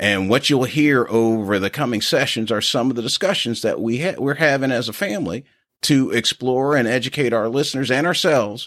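A man with an American accent speaks in a normal speaking voice at a medium pitch and moderate pace. His intonation is lively, and the recording is very clean with a silent background. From Philadelphia, Pennsylvania. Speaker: podcast co-host, finance executive. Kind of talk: casual podcast intro, partly scripted.

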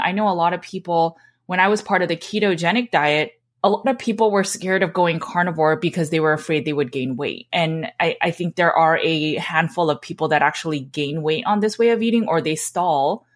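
A woman's fairly low voice at a fairly quick pace, with ordinary pitch variation, hardly any pauses and a very clean recording over a silent background. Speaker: podcast host and nutrition coach. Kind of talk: casual podcast discussion. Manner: fast.

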